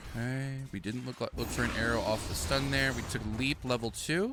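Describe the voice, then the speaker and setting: A man speaking at a moderate pace with ordinary pitch variation, over noticeable background noise. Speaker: gaming video creator. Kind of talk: gameplay commentary. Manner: casual, conversational.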